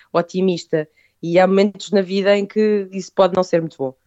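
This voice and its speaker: Her fairly low voice holds a monotone, flat intonation as this woman speaks. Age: 30s. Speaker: food business owner. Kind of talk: interview.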